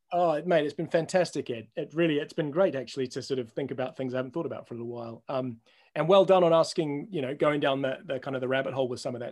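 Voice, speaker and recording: Very fast, a man talks at a medium pitch. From New Zealand. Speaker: sports broadcaster turned media executive. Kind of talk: casual interview chat. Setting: remote interview, no video.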